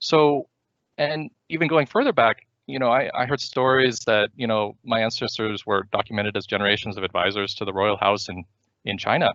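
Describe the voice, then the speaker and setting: In an ordinary speaking voice, a man talks with ordinary pitch variation, recorded dry and close with no echo over a quiet background. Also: medium pitch for a man, fairly quick pace. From US, moved around the country. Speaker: startup founder and CEO. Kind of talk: seminar presentation. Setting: virtual seminar. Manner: many fillers and restarts.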